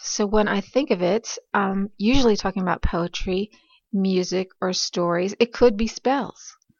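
A woman speaks with a normal speaking voice at a medium pitch. Her pace is moderate.

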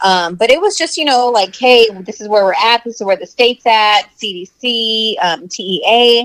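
A woman has an ordinary speaking voice at a fairly high pitch and speaks at a fairly slow pace. The sound is dry and close, with no echo. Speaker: podcast co-host. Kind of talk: casual chat. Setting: video call.

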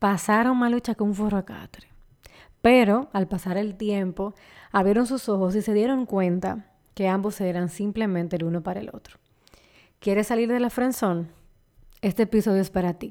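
In a Dominican accent, a woman at medium pitch talks at a moderate pace with fairly even intonation and long, frequent pauses, on a very clean recording with a silent background. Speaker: podcast host. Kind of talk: scripted intro.

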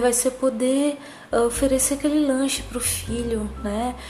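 A woman talks fairly slowly in a calm tone with fairly even intonation, amid audible room echo and noticeable background noise. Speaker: podcaster. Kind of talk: personal monologue. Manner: calm, sleepy-sounding.

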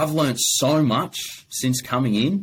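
A man with an Australian accent. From Adelaide, South Australia. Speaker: business owner. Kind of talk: casual interview.

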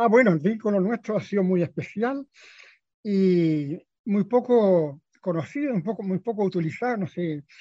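In a dry, close sound with no echo and a quiet background, a man with a high pitch and a dark, mellow tone speaks at a fairly slow pace with lively intonation. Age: 80s+. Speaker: bookshop founder. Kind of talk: radio interview. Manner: halting.

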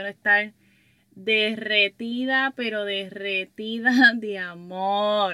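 A woman's bright, sharp tone at a fairly high pitch and very slow pace, on a very clean recording with a silent background. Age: 20s. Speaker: podcaster and workshop leader for women entrepreneurs. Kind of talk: casual monologue. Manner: animated.

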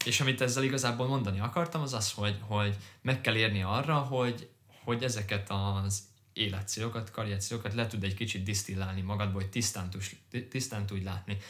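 A man's ordinary speaking voice, fairly low in pitch, with ordinary pitch variation and a fairly quick pace. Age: 20s. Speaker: podcast co-host, corporate finance employee. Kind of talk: casual chat.

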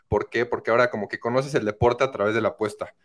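The voice moves at a very fast pace in a very clean recording with a silent background. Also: man. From Mexico, Querétaro. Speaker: sports betting tipster. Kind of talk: casual chat. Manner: animated.

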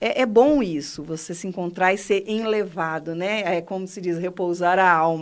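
A woman with an ordinary speaking voice talks at a moderate pace and medium pitch, with ordinary pitch variation, big swings in loudness and hardly any pauses, on a very clean recording with a silent background. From Paraná, Brazil. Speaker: cultural foundation director. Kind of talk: radio interview. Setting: radio studio.

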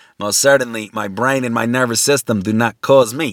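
A man talks at a fairly quick pace with a bright, sharp tone at medium pitch, the sound dry and close with no echo. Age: 50s. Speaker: lecturer. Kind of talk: lecture. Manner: halting; repetitive filler-heavy.

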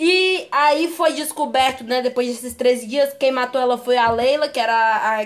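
Her voice is pitched high, with ordinary pitch variation. This woman talks at a moderate pace. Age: young. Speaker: podcast co-host. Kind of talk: casual chat.

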